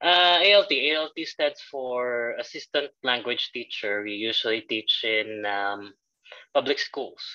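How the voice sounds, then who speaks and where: With a Filipino accent, a man speaks at a fairly slow pace in a bright, sharp tone with lively intonation. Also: medium pitch for a man. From Philippines. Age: 20s. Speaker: assistant language teacher. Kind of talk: interview. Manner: hesitant, many fillers.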